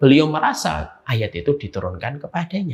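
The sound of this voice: With vocal fry and a slightly husky edge, a man speaks at medium pitch and a moderate pace.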